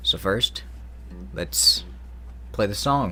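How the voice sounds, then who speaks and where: The voice has vocal fry. A man speaks at a fairly low pitch. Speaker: singer-songwriter YouTuber. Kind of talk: casual vlog talk. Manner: loud.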